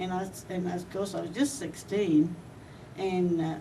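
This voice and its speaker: A woman's voice with an American accent and fairly even intonation, amid audible room echo. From Australia, Brisbane. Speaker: war bride. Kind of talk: personal storytelling. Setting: reunion event. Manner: halting, with many fillers and restarts.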